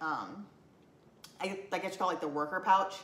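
A woman speaks with ordinary pitch variation. Audible room echo surrounds her voice. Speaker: collection vlogger. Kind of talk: casual vlog chat. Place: home room. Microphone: camera far.

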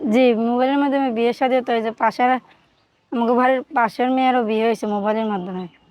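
In front of a quiet background, a woman talks at a high pitch. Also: fairly even intonation. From Bangladesh, Noakhali. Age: 20s. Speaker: domestic worker. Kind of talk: interview.

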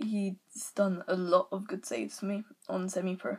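A woman's somewhat breathy voice at medium pitch, with ordinary pitch variation and a fairly slow pace. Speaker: gaming YouTuber. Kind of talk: casual gaming commentary, squad walkthrough. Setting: screen recording voiceover. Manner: casual, filler words, a bit hesitant.

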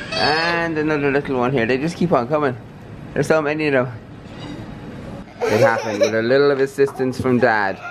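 A man talks at a fairly quick pace with ordinary pitch variation. There is noticeable background noise. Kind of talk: casual vlog chat. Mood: playful, teasing. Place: cafe. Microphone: phone near.

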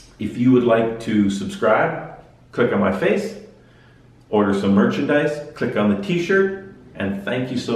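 Audible room echo around a man speaking at a fairly slow pace. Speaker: cycling vlogger. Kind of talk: casual vlog chat. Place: home room. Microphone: camera far.

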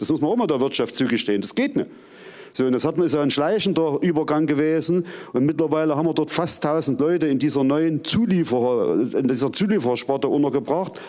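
A man at a fairly quick pace and fairly high pitch, with ordinary pitch variation, very even loudness and a quiet background. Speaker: works council representative. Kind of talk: panel discussion. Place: stage. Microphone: handheld.

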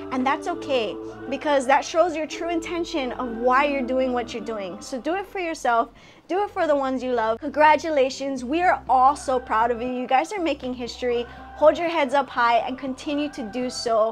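Faint music plays in the background as a woman speaks in a warm tone at a high pitch. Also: ordinary pitch variation, moderate pace. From Hawaii. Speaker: comedian, actress, internet personality. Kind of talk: graduation congratulation message. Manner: warm, encouraging. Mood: warm, heartfelt, encouraging. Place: home room. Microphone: phone near.

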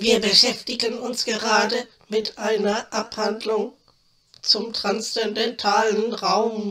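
A put-on, female-sounding character voice, fairly high in pitch, delivers its lines fairly slowly in a flat monotone. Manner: pompous, lofty, lazy.

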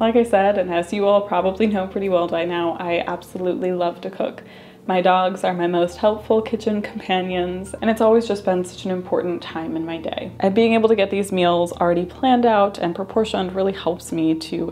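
A woman speaks at a fairly quick pace with fairly even intonation. Light background noise can be heard. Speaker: vlogger reading sponsor ad. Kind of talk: sponsored ad read. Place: home room.

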